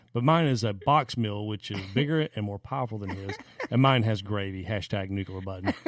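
On a very clean recording with a silent background, a man with a Southern US accent speaks at a fairly quick pace and a fairly low pitch. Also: ordinary pitch variation. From South Carolina (Anderson). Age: 40s. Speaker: podcast co-host. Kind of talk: casual chat.

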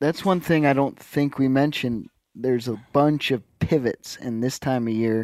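It's an ordinary speaking voice from a man at a medium pitch, with ordinary pitch variation. He keeps a moderate pace on a very clean recording with a silent background. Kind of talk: casual chat.

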